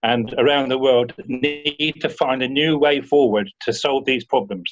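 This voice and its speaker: A man's medium-pitched voice with fairly even intonation, a normal speaking voice. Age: 60s. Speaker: rotary club member. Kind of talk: Q&A discussion.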